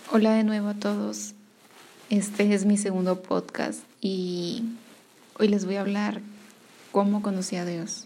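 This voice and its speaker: Amid noticeable background noise and audible room echo, a woman speaks at a fairly slow pace in a monotone, flat intonation, with long, frequent pauses. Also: medium pitch for a woman. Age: 20s. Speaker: podcaster sharing faith testimony. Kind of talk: personal testimony. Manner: halting, many fillers.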